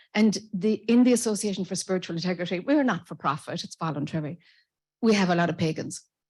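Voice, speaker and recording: In an Irish accent, a woman speaks at a very fast pace in a medium pitch, somewhat breathy with ordinary pitch variation, in a very clean recording with a silent background. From Ireland. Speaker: audience member, spiritual association organizer. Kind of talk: audience comment at conference. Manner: halting.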